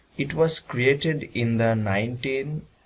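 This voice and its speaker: At a very slow pace, a man speaks in a somewhat breathy voice with ordinary pitch variation. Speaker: student presenter. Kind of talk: presentation. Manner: formal.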